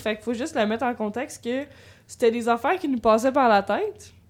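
Speaking at a moderate pace, the woman has a high pitch. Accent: Quebec. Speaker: psychology student, podcast guest. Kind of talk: casual chat.

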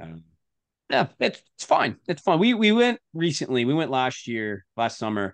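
Over a quiet background, a man talks at a moderate pace with a dry, close sound and no echo. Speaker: podcast co-host. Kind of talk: casual chat. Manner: animated.

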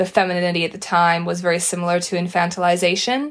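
Talking very fast, a woman with a fairly low pitch comes through on a very clean recording with a silent background. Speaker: podcast co-host and social media creator. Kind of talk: casual chat.

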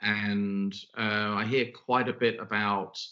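Here a man speaks with a British accent at a fairly low pitch. His intonation is monotone and flat. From Britain. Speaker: podcast host and leadership consultant. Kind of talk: interview podcast conversation.

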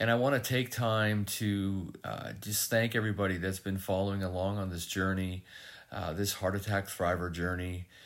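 Against a silent background, the recording is very clean. A man with a fairly low pitch talks at a moderate pace with fairly even intonation. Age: 50s. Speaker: podcast host, heart attack survivor. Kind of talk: solo reflective monologue. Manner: many fillers and hesitations.

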